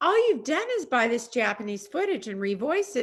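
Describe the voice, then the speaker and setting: This is a put-on character voice, female-sounding and high-pitched for a woman. It moves at a moderate pace with very wide swings in pitch. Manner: arrogant, snotty.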